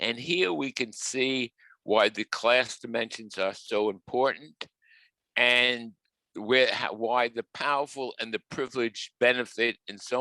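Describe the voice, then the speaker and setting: A man with a strong New York accent speaks at a fairly slow pace and medium pitch. His tone is bright and sharp, and the sound is dry and close with no echo. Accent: New York, heavy. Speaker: professor. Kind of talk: webinar talk. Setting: video call.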